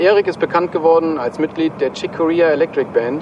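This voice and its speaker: Over noticeable background noise, a man with a fairly high voice speaks at a moderate pace. His intonation stays fairly even. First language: German. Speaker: music video host. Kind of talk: scripted narration. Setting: jazz club.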